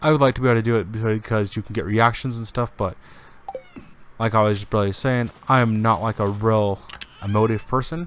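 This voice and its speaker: Noticeable background noise sits under a man's medium-pitched voice. He talks at a fairly quick pace with fairly even intonation. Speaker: game streamer. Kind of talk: casual gameplay stream chat. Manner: monotone; calm, relaxed.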